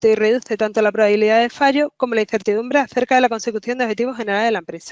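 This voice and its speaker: A woman with a fairly high voice talks at a very fast pace. Her intonation stays fairly even. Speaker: software consultant presenting a webinar. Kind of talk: webinar presentation. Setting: online webinar.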